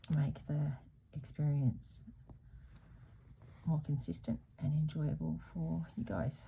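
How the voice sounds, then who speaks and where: A soft-spoken woman's very deep, low, dark and mellow voice with vocal fry, in an Australian accent, at a very slow pace. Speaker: embroidery youtuber. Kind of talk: casual craft tutorial chat. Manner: soft, goes quiet while working. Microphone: sound too quiet, edited in post.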